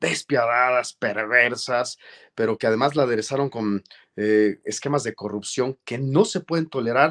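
A man talks somewhat slowly over a quiet background. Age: 40s. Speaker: journalist and lawyer, political hopeful; journalist, lawyer. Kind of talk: interview. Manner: formal. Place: office. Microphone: webcam.

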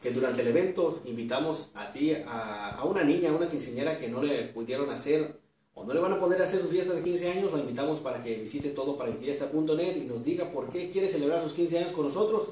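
A man's fast, lively-intoned speech in a dark, mellow tone, with strong room echo. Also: fairly high pitch for a man, few pauses.

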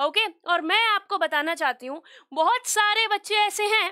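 Her voice raised and projected, a woman speaks at a fairly slow pace with lively intonation and a bright, sharp tone against a quiet background. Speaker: online teacher. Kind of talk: lecture. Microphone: headset.

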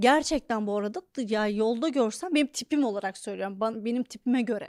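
On a very clean recording with a silent background and a dry, close sound with no echo, a woman with a fairly high pitch speaks in an animated tone at a moderate pace with ordinary pitch variation. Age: 30s. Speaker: comedian and podcast host. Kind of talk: comedic monologue.

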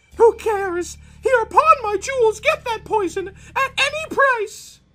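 The speaker puts on a character voice and talks at a fairly slow pace. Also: man, extremely high pitch for a man. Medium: read story. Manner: fearful, desperate.

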